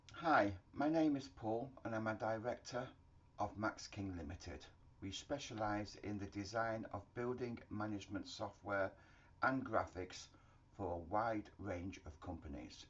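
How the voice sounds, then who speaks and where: A man with a British accent speaks fairly slowly at a fairly low pitch, his voice somewhat breathy. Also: ordinary pitch variation. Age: 60s. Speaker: HVAC engineering consultant. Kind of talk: promotional self-introduction. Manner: formal.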